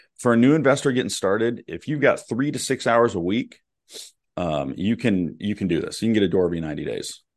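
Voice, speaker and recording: A man talks at a very fast pace with lively intonation and vocal fry. The background is quiet. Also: medium pitch for a man. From Oklahoma, small town. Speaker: real estate investor and coach. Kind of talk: interview.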